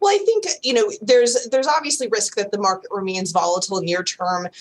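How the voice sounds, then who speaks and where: A woman talks at a fairly quick pace with ordinary pitch variation. Noticeable background noise runs underneath. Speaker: equity strategist. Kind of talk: TV market commentary.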